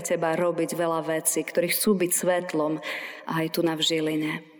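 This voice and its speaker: Against noticeable background noise, a woman speaks in a monotone, flat intonation at a fairly low pitch. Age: 40s. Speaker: pastor. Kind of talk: sermon.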